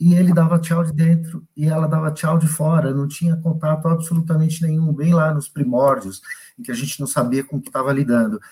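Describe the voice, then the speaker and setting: A man with a dark, mellow tone and fairly high pitch talks at a fairly quick pace with ordinary pitch variation and hardly any pauses. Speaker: hospital director and infectious disease doctor. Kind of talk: live panel interview.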